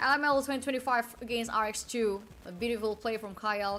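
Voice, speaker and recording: A woman with an Indonesian accent talks at a moderate pace. Her pitch is fairly high. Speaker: esports caster and streamer. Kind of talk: live commentary. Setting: live stream. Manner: halting.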